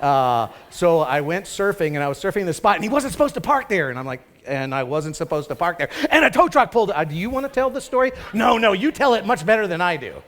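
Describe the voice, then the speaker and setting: Very fast male speech with a high voice and very wide pitch swings, over noticeable background noise. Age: 60s. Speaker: pastor. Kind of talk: sermon. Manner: conversational.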